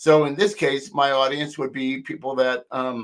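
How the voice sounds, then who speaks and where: The recording of this man's fairly high-pitched voice is very clean, with a silent background. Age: 60s. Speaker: online marketing tutor. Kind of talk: screen-share tutorial live stream. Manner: casual, hesitant with fillers.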